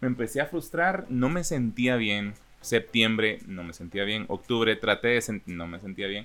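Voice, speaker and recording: An unremarkable speaking voice moves at a moderate pace with lively intonation and big swings in loudness. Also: man, medium pitch for a man. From Guatemala, Chiquimula (east). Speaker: voice-over announcer. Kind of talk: interview.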